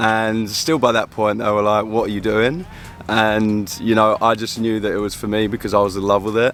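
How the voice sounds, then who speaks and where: A fairly low-pitched man with an English accent and fairly even intonation. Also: moderate pace. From London, England. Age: 20s. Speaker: pickleball pro. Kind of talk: interview.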